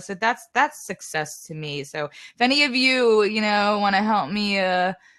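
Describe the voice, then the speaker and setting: A woman with a New York accent talks at a moderate pace in a bright, sharp tone. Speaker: singer-songwriter. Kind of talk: casual interview chat.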